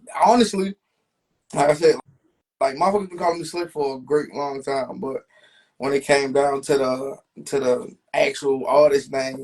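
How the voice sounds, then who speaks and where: Pausing long and often, a man with a fairly high voice speaks with ordinary pitch variation. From Baltimore, West Baltimore. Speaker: rapper. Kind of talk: interview.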